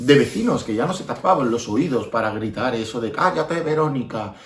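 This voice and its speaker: Lively intonation marks this man's speech, heard over noticeable background noise. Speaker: storyteller. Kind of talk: children's storytelling. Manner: expressive, repetitive.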